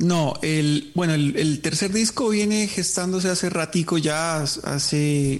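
This man has a normal speaking voice, pitched fairly high with ordinary pitch variation. He talks at a fairly slow pace with very even loudness and hardly any pauses. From southern Colombia, Nariño.

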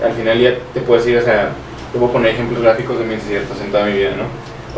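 A man with a medium-pitched voice talks at a very fast pace, with noticeable background noise and audible room echo. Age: 20s. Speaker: young entrepreneur. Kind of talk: casual chat.

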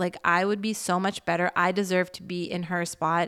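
In a very clean recording with a silent background, a woman speaks at a fairly slow pace with a medium pitch and a plain, everyday voice. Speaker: podcast host and creator. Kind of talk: casual solo monologue.

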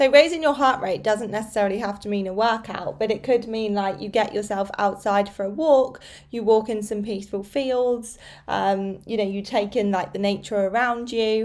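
In a British accent, a woman speaks at a moderate pace in a fairly high voice with ordinary pitch variation. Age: 30s. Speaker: fitness coach and podcast host. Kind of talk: solo podcast monologue. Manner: casual, conversational.

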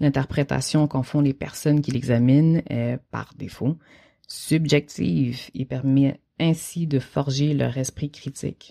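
Very slow and with a dark, mellow tone, a woman speaks at a very deep, low pitch in a very clean recording with a silent background. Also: fairly even intonation. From Quebec, Haitian heritage. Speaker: visual artist. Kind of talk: reading aloud.

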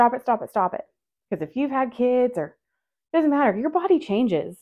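Very wide pitch swings run through a woman's high-pitched speech. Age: 30s. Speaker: podcast host. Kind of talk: casual solo chat. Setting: at home doing laundry, on video.

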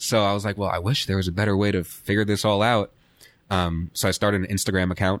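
Speaking at a very fast pace with an American accent, a man keeps a fairly low pitch, very even loudness and monotone, flat intonation. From Queens, New York. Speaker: cannabis marketing business owner. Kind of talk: casual interview.

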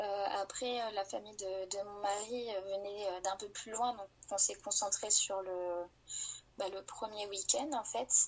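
A woman speaks in a plain, everyday voice at a fairly high pitch. Her pace is fairly slow and her intonation fairly even. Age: 20s. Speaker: nurse and new mother. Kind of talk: personal testimony in interview. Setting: remote call.

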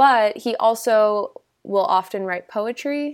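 A woman's fairly high voice moves along at a very slow pace. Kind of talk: casual chat about art. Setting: video call.

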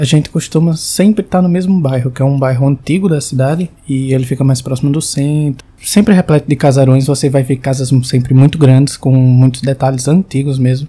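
Fairly high-pitched and somewhat breathy, a man talks at a fairly quick pace with hardly any pauses, ordinary pitch variation and a dark, mellow tone. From Brazil, João Pessoa (Paraíba). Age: 20s. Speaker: listener sharing a personal ghost story. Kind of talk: recorded personal testimony.

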